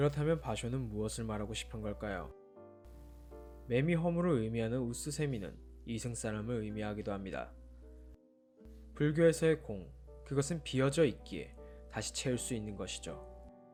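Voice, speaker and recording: A man's fairly low voice with very wide pitch swings, a moderate pace, long and frequent pauses, and music in the background. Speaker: book YouTuber. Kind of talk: sleep-aid book-review talk reading a poem and commenting on it. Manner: soft-spoken, calm, relaxed.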